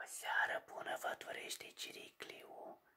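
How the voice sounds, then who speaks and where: A man whispers in a soft-spoken way. His pace is very slow. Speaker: horror storyteller. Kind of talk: storytelling narration. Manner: soft whispered sign-off. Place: home room. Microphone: phone near.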